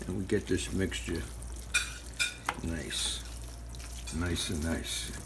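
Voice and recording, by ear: The delivery moves at a slow pace with fairly even intonation. Clear background noise is present. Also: man, low pitch for a man.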